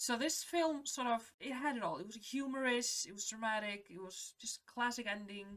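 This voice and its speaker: A woman with a non-native accent speaks in a high pitch with lively intonation. Her loudness swings widely, and there are hardly any pauses. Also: moderate pace. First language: not English. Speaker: film reaction youtuber. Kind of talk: casual film reaction and review.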